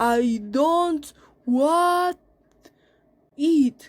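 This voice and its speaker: A woman puts on a whiny character voice pitched high. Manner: protesting, pleading.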